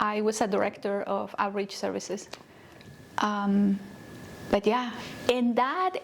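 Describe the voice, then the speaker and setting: Noticeable background noise sits behind a monotone, flat delivery in a Spanish accent, fairly slow and full of long, frequent pauses. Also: woman, medium pitch for a woman. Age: 30s. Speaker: nonprofit CEO and counselor. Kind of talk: interview.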